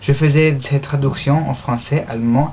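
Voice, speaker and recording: A woman speaks at a fairly slow pace in a very deep, low voice. Noticeable background noise runs underneath. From Australia. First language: English (speaking French). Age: young. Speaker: university language student. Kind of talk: mock job application speech. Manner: halting, many hesitations.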